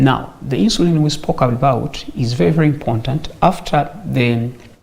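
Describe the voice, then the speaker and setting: Over noticeable background noise, a man talks at a moderate pace with ordinary pitch variation and very even loudness. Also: fairly high pitch for a man. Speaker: medical doctor. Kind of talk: health talk show interview explaining diabetes.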